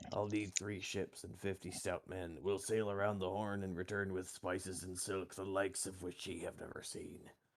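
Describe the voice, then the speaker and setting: Using a put-on character voice with a very deep, low pitch, a man speaks at a moderate pace with hardly any pauses. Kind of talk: pirate speech. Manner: gruff, swashbuckling.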